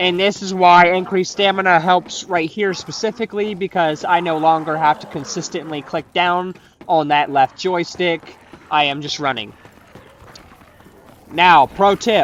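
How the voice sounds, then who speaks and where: Noticeable background noise can be heard. The talking proceeds at a moderate pace. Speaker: gaming youtuber. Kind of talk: gameplay tutorial commentary. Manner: casual.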